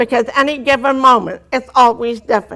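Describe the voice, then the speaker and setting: A woman's bright, sharp voice at a moderate pace. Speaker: deaf motivational speaker. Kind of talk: testimony. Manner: carefully articulated, trained speech.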